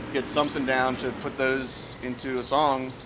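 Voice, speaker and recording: A man speaks at medium pitch and a moderate pace in a monotone, flat delivery. Audible room echo and noticeable background noise come through. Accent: American. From US Midwest (central Illinois). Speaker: indie rock musician. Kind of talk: casual interview. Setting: outdoors. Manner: halting, many fillers.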